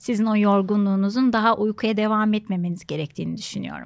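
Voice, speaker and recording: A woman talks at a fairly quick pace with fairly even intonation against a quiet background. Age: 30s. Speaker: psychologist. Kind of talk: interview conversation. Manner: many filler sounds, hesitant. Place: studio. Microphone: studio mic.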